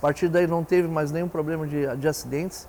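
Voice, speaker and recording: This man's voice is high in pitch with a dark, mellow tone. He talks at a fairly quick pace. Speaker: industrial company representative. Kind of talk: interview answer.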